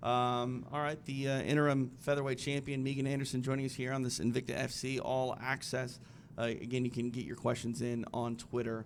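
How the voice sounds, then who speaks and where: The speaker talks with an American accent at a fairly quick pace. The intonation is monotone and flat. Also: man, medium pitch for a man. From US Midwest. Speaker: interview host. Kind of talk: live interview Q&A. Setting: live stream studio.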